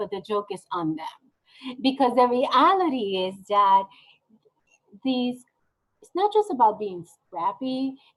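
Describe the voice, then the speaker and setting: This woman talks at a fairly slow pace. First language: not English (ESL learner). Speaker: nonprofit executive director. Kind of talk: interview. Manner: animated.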